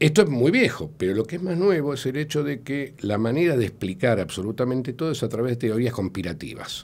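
A man talks with vocal fry. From Argentina. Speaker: sociologist; guest. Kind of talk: radio interview. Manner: hesitant, many filler sounds. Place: studio. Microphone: studio mic.

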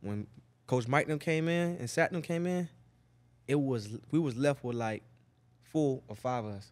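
With long, frequent pauses, a man talks at a moderate pace in a fairly high pitch, his intonation lively. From Miami, Florida (Liberty City); Florida. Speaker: NFL wide receiver; podcast guest. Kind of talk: casual chat. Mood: relaxed, laid-back. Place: studio. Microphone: studio mic.

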